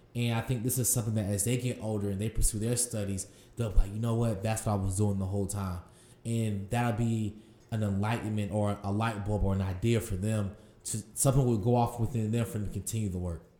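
A man speaks at a very fast pace in a dark, mellow tone that is somewhat breathy, his intonation monotone and flat. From Durham, North Carolina. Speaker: farmer and farm founder. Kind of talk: interview.

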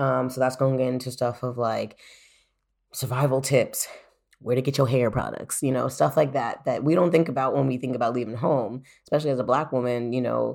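With vocal fry and a very deep, low pitch, a woman with an American accent talks at a fairly quick pace and with fairly even intonation on a very clean recording with a silent background. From United States, small town. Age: 20s. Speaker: professional footballer and podcaster. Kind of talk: casual solo podcast monologue. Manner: casual, with frequent fillers.

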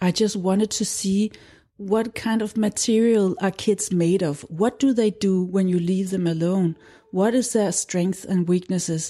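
In a Danish accent, a woman speaks at a fairly slow pace with a dark, mellow tone, fairly even intonation and very even loudness. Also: medium pitch for a woman. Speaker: documentary film director and school founder. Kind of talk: interview.

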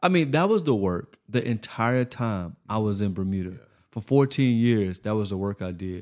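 A man speaks with a normal speaking voice, fairly low in pitch and with an American accent. His pace is moderate, and the recording is very clean with a silent background. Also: lively intonation. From rural Florida, US South. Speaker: podcast host and public speaker. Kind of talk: casual chat.

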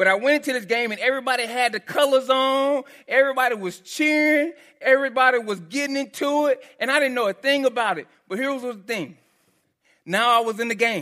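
With a strong Texan accent, a man speaks in an extremely high pitch, his voice raised and projected, bright and sharp in tone, animated, at a fairly quick pace with ordinary pitch variation, on a very clean recording with a silent background. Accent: Texan, heavy twang. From Texas. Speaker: pastor. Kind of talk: sermon. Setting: church. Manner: animated, casual.

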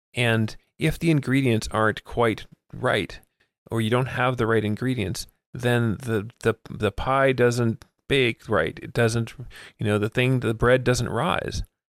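In a very clean recording with a silent background and a dry, close sound with no echo, a man with an ordinary speaking voice talks at a fairly slow pace, his pitch medium and his intonation fairly even. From Miami, US. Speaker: nonprofit executive director. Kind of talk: casual interview chat. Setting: in person, recording in a room.

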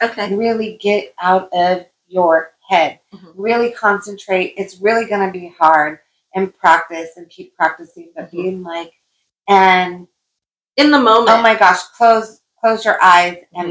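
A woman with an unremarkable speaking voice talks at a fairly slow pace and medium pitch, using ordinary pitch variation and big swings in loudness. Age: 50s. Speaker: life coach and podcast co-host. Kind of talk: casual chat.

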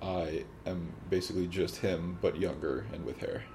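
A man speaks at a fairly slow pace with noticeable background noise. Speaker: host's boyfriend. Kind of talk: casual chat. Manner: soft-spoken.

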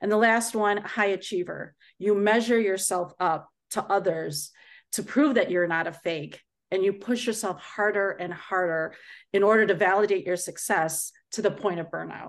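With an American accent, a woman of medium pitch uses a plain, everyday voice against a quiet background. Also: ordinary pitch variation, moderate pace. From US Midwest, Chicago area. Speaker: project manager and motivational speaker. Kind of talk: interview.

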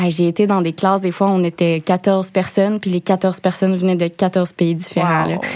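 In a Quebec accent, a woman of medium pitch speaks at a moderate pace in a flat monotone with hardly any pauses. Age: 20s. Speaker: TV show host and financial educator. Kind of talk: interview.

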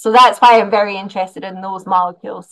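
A woman with a Scottish accent talks at a fairly quick pace. Her pitch sits in the medium range, and her intonation stays fairly even. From Scotland. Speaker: animal science professor. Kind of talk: interview.

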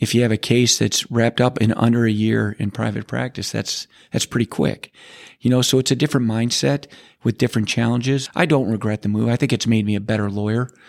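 A man with an American accent has a normal speaking voice at a medium pitch, moving at a fairly quick pace with fairly even intonation. The recording is very clean with a silent background and a dry, close sound with no echo. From Cleveland, Ohio. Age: 50s. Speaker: lawyer. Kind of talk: interview.

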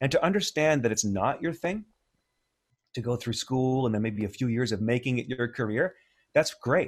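In a Canadian accent, a man speaks with a normal speaking voice at medium pitch. His intonation is lively and his pace moderate. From Ontario, Canada. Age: 50s. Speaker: music producer and educator. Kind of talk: casual interview.

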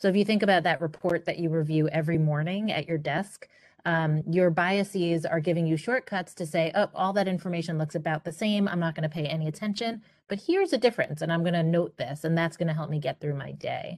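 The speaker has an American accent and talks at a very fast pace. Pitch varies in an ordinary way over a quiet background. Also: woman, fairly low pitch for a woman. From Queens, New York. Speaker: consultant, business founder. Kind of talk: interview.

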